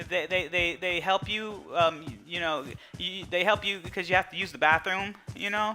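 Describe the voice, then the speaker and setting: With music in the background, a man speaks in a raised, projected voice at a high pitch and a moderate pace. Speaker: stroke survivor. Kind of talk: personal testimony. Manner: halting.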